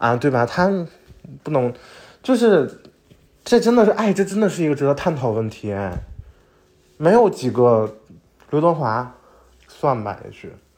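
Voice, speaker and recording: This man's fairly high voice makes very wide pitch swings and big swings in loudness, broken by long, frequent pauses. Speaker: podcast host. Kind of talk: casual solo monologue. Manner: fast; animated.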